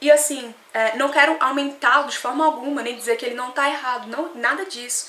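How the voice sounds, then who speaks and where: A woman projects a raised voice at a high pitch, with audible room echo and noticeable background noise. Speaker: vlogger. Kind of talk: opinion vlog. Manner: fast.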